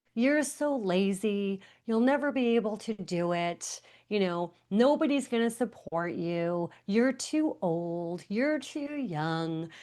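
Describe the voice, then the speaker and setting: With an American accent, a woman speaks at a very slow pace, her pitch swinging very widely, over a quiet background. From Long Island, New York. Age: 60s. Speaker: author and motivational speaker. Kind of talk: podcast interview.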